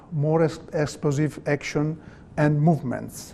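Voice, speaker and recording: A man with a non-native accent speaks fairly slowly at a fairly high pitch. Room echo is audible. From Italy. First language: Italian. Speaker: volleyball coach. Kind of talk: lecture. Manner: halting.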